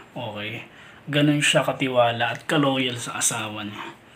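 Amid noticeable background noise and audible room echo, a man speaks at a moderate pace and medium pitch with fairly even intonation. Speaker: showbiz gossip vlogger. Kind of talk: commentary monologue.

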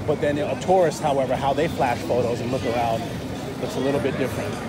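A man speaks in a dry sound with no echo while crowd noise fills the background. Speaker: travel vlogger. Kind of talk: casual vlog chat. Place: street. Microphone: phone near.

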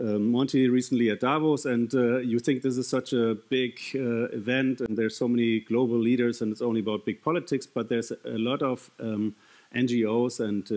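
At a fairly quick pace, a man talks with fairly even intonation. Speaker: conference speaker. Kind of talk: keynote talk. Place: stage. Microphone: headset.

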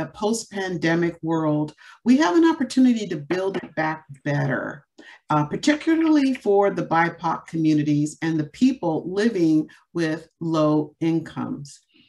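A woman with a normal speaking voice talks at a fairly slow pace. Her intonation is lively. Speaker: panel moderator. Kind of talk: opening remarks for a webinar panel. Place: home room. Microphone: webcam.

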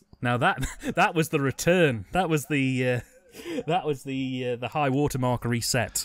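A man with an English accent speaks at a moderate pace in a medium pitch, his pitch varying in an ordinary way over noticeable background noise. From England. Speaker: film commentary podcast co-host. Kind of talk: casual chat.

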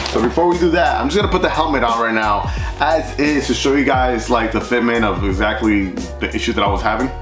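Music plays clearly behind a man who speaks at a fairly quick pace. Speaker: motorcycle vlogger. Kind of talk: casual product review vlog. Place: garage.

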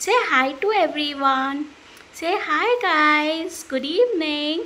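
In a raised, projected voice, a woman speaks at an extremely high pitch with ordinary pitch variation. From India, Mumbai. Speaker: vlogger. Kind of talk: personal vlog and life story. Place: home room. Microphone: phone near.

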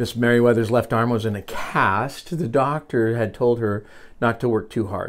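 The voice reads aloud and sounds natural.

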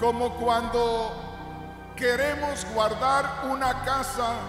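Clear music plays in the background, and the room echo is audible. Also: man. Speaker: preacher. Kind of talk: sermon. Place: church. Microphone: handheld.

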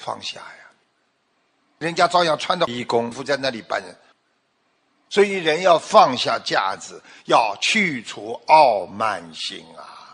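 A man speaks at a fairly slow pace with vocal fry. The background is quiet. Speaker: religious teacher. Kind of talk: sermon. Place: stage. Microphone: studio mic.

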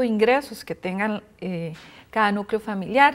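A woman with a plain, everyday voice speaks at a moderate pace with ordinary pitch variation against a quiet background. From Costa Rica. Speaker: housing foundation coordinator; guest. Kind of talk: interview; interview answer. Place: studio. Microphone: lapel.

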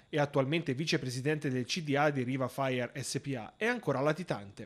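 A man speaks at a fairly quick pace. His voice is fairly high, with ordinary pitch variation. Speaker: town mayor, interviewee. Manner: hesitant, formal, filler-laden.

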